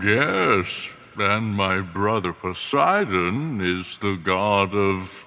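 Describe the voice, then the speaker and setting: A very slow, fairly low-pitched put-on character voice from a man. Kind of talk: comic kids' podcast acting. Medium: audio drama. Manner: grandiose yet casual.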